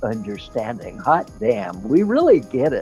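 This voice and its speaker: A man is speaking. Music plays in the background. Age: 70s. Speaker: computer scientist. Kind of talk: interview answer.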